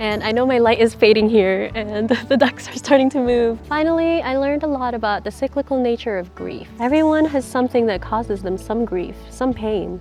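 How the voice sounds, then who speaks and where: With music in the background, a woman talks at a fairly quick pace with ordinary pitch variation. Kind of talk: casual reflective talk to camera. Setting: outdoors. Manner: quiet.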